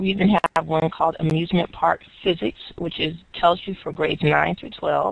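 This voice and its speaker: A woman speaks at a moderate pace and a fairly low pitch. Her intonation is fairly even, with vocal fry. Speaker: educator presenting STEM resources. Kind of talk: webinar presentation. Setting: online webinar.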